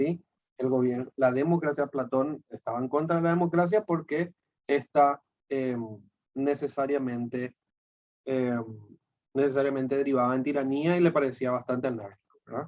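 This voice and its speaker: A man speaks at a fairly high pitch and moderate pace, leaving long, frequent pauses. His intonation is fairly even, and the sound is dry and close with no echo. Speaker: philosophy teacher. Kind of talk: lecture.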